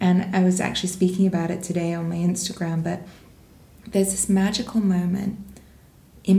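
With audible room echo, a woman speaks in a medium pitch, her somewhat breathy voice dark and mellow in tone and flat, monotone in intonation. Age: 20s. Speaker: women's wellness space founder. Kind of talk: casual chat.

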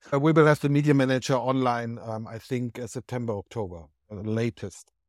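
A man with a German accent talks at a fairly quick pace with ordinary pitch variation, in a dry, close sound with no echo. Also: big swings in loudness, very clean recording, silent background. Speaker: film industry platform founder. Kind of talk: interview.

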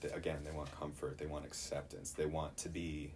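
Somewhat breathy, a man with an American accent speaks amid audible room echo. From Chicago. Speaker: Bible college student. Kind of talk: casual chat.

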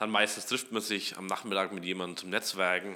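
A man with a slight Franconian accent speaks at a fairly quick pace, his very deep, low voice bright and sharp in tone with fairly even intonation. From Upper Franconia, Germany (Kulmbach). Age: 20s. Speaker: startup co-founder and CTO. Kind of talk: casual interview.

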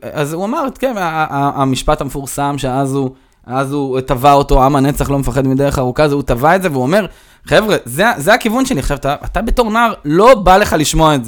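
Using an unremarkable speaking voice, a man with a fairly high pitch talks at a fairly quick pace with lively intonation. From Israel, Rehovot and Modiin. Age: 30s. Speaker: informal education manager. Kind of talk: interview conversation. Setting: in person.

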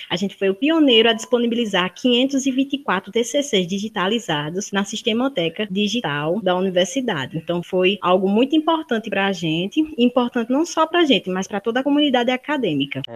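A woman with a fairly high pitch talks at a fairly quick pace with hardly any pauses and very wide pitch swings. Noticeable background noise is present. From Brazil, Paraíba (Campina Grande). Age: 20s. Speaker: university student. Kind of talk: interview.

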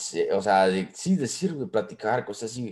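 With ordinary pitch variation, this man speaks at a medium pitch. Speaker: podcast co-host. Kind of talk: casual chat. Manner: halting, many repetitions.

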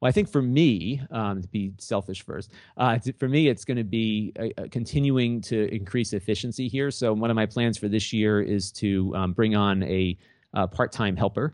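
This is a plain, everyday voice. Its speed is moderate and its pitch varies in an ordinary way. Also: man, fairly low pitch for a man. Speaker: YouTube gadget reviewer. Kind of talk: casual interview.

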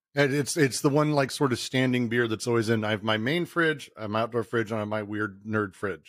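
With a plain, everyday voice, a man with an American accent speaks at a medium pitch and a fairly quick pace with ordinary pitch variation, in a dry, close sound with no echo on a very clean recording with a silent background. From Colorado, Denver. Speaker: video game company CEO. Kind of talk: casual chat.

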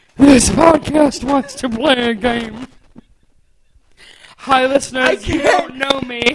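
A man in a put-on character voice at an extremely high pitch, with a fairly slow pace and long, frequent pauses. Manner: creepy.

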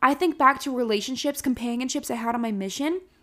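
In a very clean recording with a silent background, a woman speaks loudly in a high voice, her tone energetic, bright and sharp, with ordinary pitch variation. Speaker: podcast host. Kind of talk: casual solo podcast monologue. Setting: home, alone in the house. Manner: energetic, loud.

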